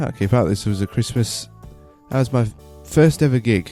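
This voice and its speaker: Over music in the background, a man talks in a fairly low voice with lively intonation. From Tasmania, Australia. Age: 20s. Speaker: stand-up comedian. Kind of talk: casual talk to camera.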